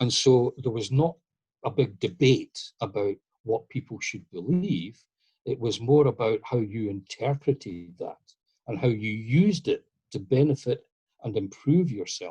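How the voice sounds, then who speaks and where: A man with a Scottish accent, a dark, mellow tone and medium pitch, somewhat breathy, with lively intonation at a fairly slow pace, in a dry, close sound with no echo. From Scotland. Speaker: masonic historian lecturer. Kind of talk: lecture Q&A answer.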